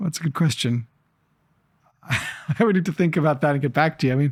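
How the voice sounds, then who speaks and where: A man with an American accent and a fairly high pitch sounds somewhat breathy, using ordinary pitch variation and very even loudness with long, frequent pauses. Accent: American, drifting toward Canadian. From Israel. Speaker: entrepreneur and investor. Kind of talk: interview conversation. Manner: halting, many fillers and repeats.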